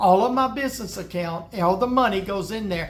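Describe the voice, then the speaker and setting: A man talks with a Deep South accent. Audible room echo surrounds his voice. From US South. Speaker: woodworker giving business advice. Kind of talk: tutorial. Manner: casual, conversational.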